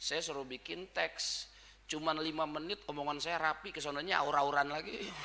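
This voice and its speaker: A man speaks with a bright, sharp tone. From Jakarta, Tanah Abang (Betawi). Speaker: Islamic preacher. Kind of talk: religious lecture (sermon). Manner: informal, blunt street speech.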